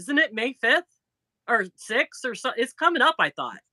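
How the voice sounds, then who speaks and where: A woman with a Chicago accent speaks in a raised, projected voice at a high pitch, with a bright, sharp tone. Her intonation is lively, and the sound is dry and close with no echo. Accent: Chicago-area Midwest. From northern Indiana, near Chicago. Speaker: crochet YouTuber. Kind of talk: casual live-stream chat.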